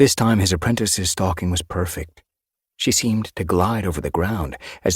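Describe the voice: The speaker reads aloud plainly over a quiet background.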